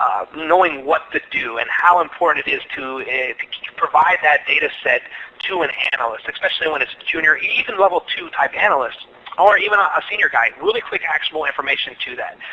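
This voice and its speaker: A man with an American accent talks at a fairly quick pace against noticeable background noise. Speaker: security engineer presenting at webinar. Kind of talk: webinar presentation and Q&A. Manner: halting, many fillers and repetitions.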